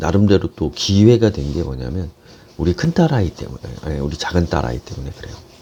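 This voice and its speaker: The loudness swings widely from moment to moment. The pitch also rises and falls in very wide swings. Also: man. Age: 50s. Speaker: business coach and lecturer. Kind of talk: casual talk to camera.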